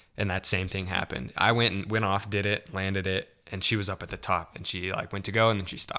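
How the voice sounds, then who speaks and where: In a very clean recording with a silent background, a man with an American accent talks at a very fast pace with hardly any pauses, his fairly low voice bright and sharp in tone with fairly even intonation. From Central California. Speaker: photographer with a corporate job. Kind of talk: casual chat.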